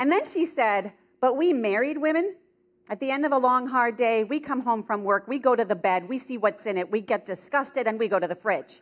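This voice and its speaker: A woman speaks loudly in a high-pitched voice with an animated tone. Her pitch swings very widely. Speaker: pro-life speaker. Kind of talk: convention keynote talk. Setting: stage with audience.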